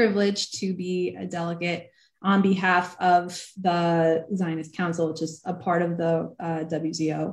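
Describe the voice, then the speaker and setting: An ordinary speaking voice comes at a moderate pace with fairly even intonation against a quiet background. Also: woman. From New Jersey, US (moved to Israel at 13). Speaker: online event host and interviewer; interviewer, host. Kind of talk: interview. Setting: video call. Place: home room. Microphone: video call.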